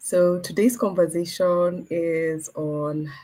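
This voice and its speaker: This voice has a dark, mellow tone and is somewhat breathy. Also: woman. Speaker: moderator / program coordinator. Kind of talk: webinar introduction. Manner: subdued.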